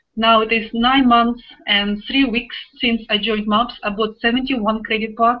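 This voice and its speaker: A woman speaks in a Russian accent. Her pitch is fairly high. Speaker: online business affiliate, web designer. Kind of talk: testimony. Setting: video call. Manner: animated.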